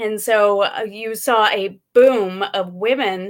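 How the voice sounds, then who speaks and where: A woman speaks with a medium pitch and ordinary pitch variation. The recording is very clean, with a silent background. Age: 40s. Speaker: gun rights activist. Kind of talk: casual chat.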